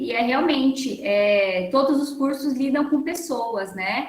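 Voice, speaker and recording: Over noticeable background noise and audible room echo, a woman speaks fairly slowly in a high voice with ordinary pitch variation. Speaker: workshop lecturer on learning disorders. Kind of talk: online lecture.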